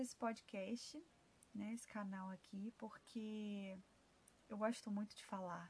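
Somewhat breathy and at medium pitch, a woman speaks very slowly with big swings in loudness. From Rio de Janeiro, Brazil. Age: 20s. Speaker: holistic therapist. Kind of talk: podcast monologue. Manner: halting.

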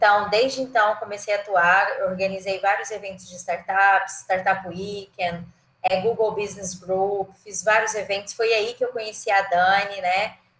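At a fairly slow pace, a woman speaks with a medium pitch and monotone, flat intonation. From Goiás, central Brazil (Goiânia). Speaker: marketing executive and professor. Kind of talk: casual interview. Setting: remote call.

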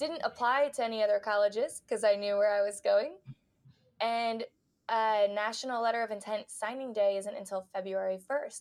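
A woman with an ordinary speaking voice talks at a moderate pace with fairly high pitch and fairly even intonation against a quiet background. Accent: American. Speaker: physical therapist. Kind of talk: casual interview.

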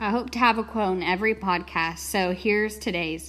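With a medium pitch and ordinary pitch variation, a woman talks in a normal speaking voice. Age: 20s. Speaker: podcast host. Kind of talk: motivational talk.

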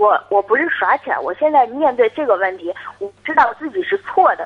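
Her voice is high and swings very widely in pitch. Noticeable background noise sits behind this woman. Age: 20s. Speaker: caller. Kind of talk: call-in advice. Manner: halting. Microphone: too quiet.

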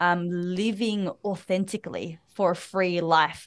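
Behind the voice, the background is quiet. The accent is Australian. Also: woman. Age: 20s. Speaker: women's empowerment mentor and speaker. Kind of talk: podcast interview. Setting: video call.

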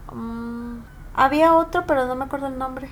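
High-pitched female speech in audible room echo. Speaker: podcast co-host. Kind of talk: casual chat.

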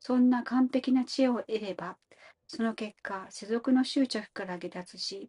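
Somewhat breathy and dark, mellow in tone, a woman speaks at a moderate pace with ordinary pitch variation in a dry, close sound with no echo. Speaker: study group participant. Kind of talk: reading aloud. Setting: online audio room.

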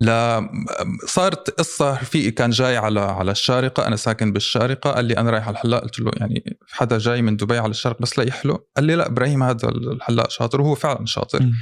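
An unremarkable speaking voice from a man, medium in pitch with ordinary pitch variation, very even loudness, a fairly quick pace and hardly any pauses. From Syria (Salamiyah), raised in Dubai UAE. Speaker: content creator and content coach. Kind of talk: casual interview conversation.

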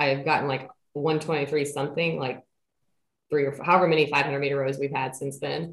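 This woman's voice sits at a very deep, low pitch. Her intonation is monotone and flat. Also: moderate pace. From Central Kentucky. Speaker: pharmacist and fitness coach, former college basketball player. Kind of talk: casual interview. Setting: remote call.

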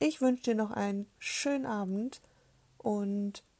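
Breathy to some degree, a woman speaks with a fairly high pitch and a dark, mellow tone on a very clean recording with a silent background. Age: 30s. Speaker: podcaster, self-love activist. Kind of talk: casual monologue introduction.

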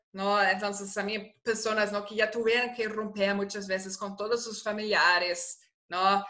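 Speaking at a fairly slow pace and medium pitch, a woman uses monotone, flat intonation. Her loudness swings a lot. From Germany. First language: German (speaking Spanish). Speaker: researcher and political adviser on gender violence. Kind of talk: interview. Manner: halting.

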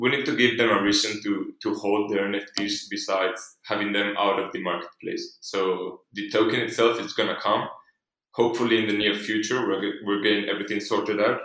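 A man with a non-native accent speaks at a fairly quick pace. His voice is fairly low, with fairly even intonation. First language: not English. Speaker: NFT project founder. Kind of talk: interview.

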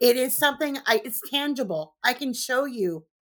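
A woman speaks in a Californian accent, bright, sharp and animated, at a fairly slow pace. The recording is very clean, with a silent background. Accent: Californian American English. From Southern California. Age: 50s. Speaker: construction inspector. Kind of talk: interview.

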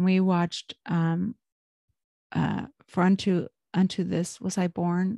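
Against a quiet background, a woman speaks in a fairly low, dark, mellow voice with monotone, flat intonation, the sound dry and close with no echo. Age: 40s. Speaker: religious podcast host. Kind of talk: casual devotional monologue. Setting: home. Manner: hesitant with many fillers.

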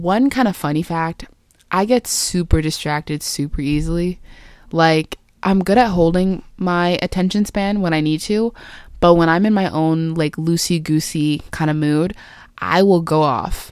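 Her pitch fairly low and ordinarily varied, a woman talks at a fairly slow pace. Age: 20s. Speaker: podcast host. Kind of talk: casual monologue. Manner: animated.

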